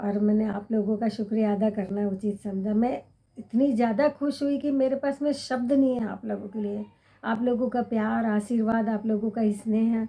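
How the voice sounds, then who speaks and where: The voice is somewhat breathy, with a dark, mellow tone and fairly even intonation. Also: woman, fairly high pitch for a woman. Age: 60s. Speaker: vlogger. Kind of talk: casual chat to camera. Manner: halting, with self-corrections.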